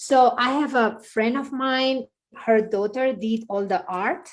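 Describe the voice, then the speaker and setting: Speaking very slowly with long, frequent pauses, a woman with a Spanish accent has a high pitch and ordinary pitch variation on a very clean recording with a silent background. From Spain. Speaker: yoga and meditation teacher. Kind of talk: casual interview.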